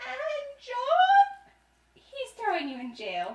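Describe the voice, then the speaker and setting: This cartoonish character voice sounds female, pitched extremely high with very wide swings. It moves along at a very slow pace. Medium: puppet.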